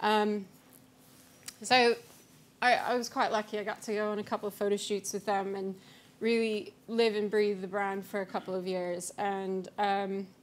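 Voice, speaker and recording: A woman with an American accent speaks at a moderate pace in monotone, flat intonation. She leaves long, frequent pauses. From US-Canada border region. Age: young. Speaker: brand strategist; conference speaker. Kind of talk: conference talk. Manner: hesitant, many fillers. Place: hall. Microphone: podium.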